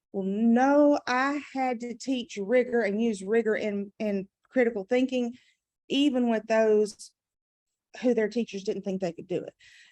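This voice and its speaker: A woman with a Southern US accent speaks at a fairly slow pace in a fairly high pitch, her tone dark and mellow with ordinary pitch variation, the sound dry and close with no echo. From US South. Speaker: adult education math trainer. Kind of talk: conference presentation.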